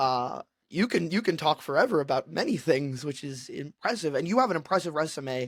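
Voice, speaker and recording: This man speaks at a fairly quick pace on a very clean recording with a silent background. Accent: New York. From Brooklyn, New York. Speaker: podcast host. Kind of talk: interview.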